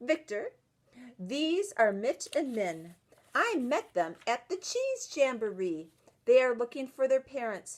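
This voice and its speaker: This is a put-on character voice. It moves along at a fairly slow pace. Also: woman, high pitch for a woman. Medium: read story. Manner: motherly, warm.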